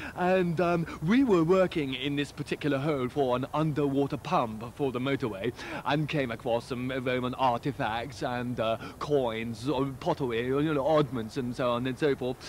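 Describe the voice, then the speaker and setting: Speaking at a moderate pace with ordinary pitch variation, a man is heard in dry sound with no echo over light background noise. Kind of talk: animated anecdote to camera. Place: garden.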